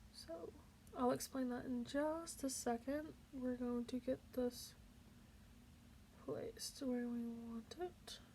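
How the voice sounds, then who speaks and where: Soft-spoken and high-pitched, a woman with a dark, mellow tone talks at a very slow pace with long, frequent pauses and ordinary pitch variation. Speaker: beauty youtuber. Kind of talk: makeup tutorial. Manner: casual, hesitant with fillers.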